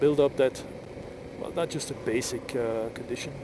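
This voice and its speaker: The speaker is a man. His pace is moderate, and there is noticeable background noise. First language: Flemish (Dutch). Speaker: motorcycle vlogger. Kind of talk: casual vlog monologue while riding. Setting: outdoors on a motorcycle. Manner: halting.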